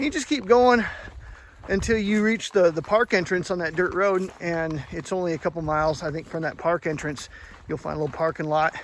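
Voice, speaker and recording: A man speaks at a high pitch with ordinary pitch variation. His tone is relaxed and his pace fairly quick. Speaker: hiking vlogger. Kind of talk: casual vlog narration. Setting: outdoors on a mountain trail. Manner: relaxed, hesitant with fillers.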